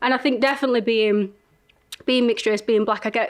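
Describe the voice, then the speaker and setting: A woman speaks in a strong Leeds accent. Her pitch is fairly high and her intonation fairly even. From northern England, Leeds. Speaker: entrepreneur, reality show winner. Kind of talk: interview chat.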